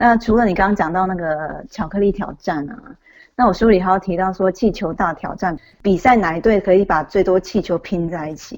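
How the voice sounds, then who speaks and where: A woman with a plain, everyday voice speaks at a fairly quick pace with medium pitch and ordinary pitch variation, on a very clean recording with a silent background. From Taiwan. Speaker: author. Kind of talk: interview.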